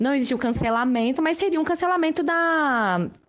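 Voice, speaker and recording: A woman against a quiet background. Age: 30s. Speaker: journalist and party official. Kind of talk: recorded statement.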